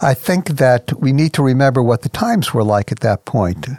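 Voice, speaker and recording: At a moderate pace and medium pitch, a man with an unremarkable speaking voice talks with ordinary pitch variation. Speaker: ministry president and radio host. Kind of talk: radio program host.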